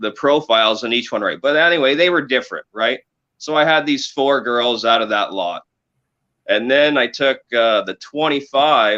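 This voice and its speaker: In a Canadian accent, a man talks at a medium pitch and moderate pace with ordinary pitch variation. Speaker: cannabis breeder. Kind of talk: casual interview chat. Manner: halting, searching for words.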